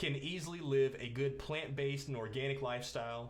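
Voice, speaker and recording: The speaker sounds upbeat at a moderate pace. Noticeable background noise and the voice share the clip. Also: man. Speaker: talk show host. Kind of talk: casual talk to camera.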